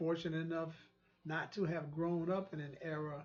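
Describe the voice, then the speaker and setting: A high-pitched man with an American accent. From US South. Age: 60s. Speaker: online talk show host. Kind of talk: monologue commentary. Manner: halting, with frequent repetitions.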